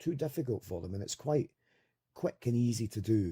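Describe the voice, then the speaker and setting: This voice has a dark, mellow tone, a somewhat breathy quality and a Scottish accent, with lively intonation at a very fast pace. The very clean recording has a silent background and a dry, close sound with no echo. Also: man. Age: 40s. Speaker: toy reviewer. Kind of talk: casual product review. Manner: casual, rambling.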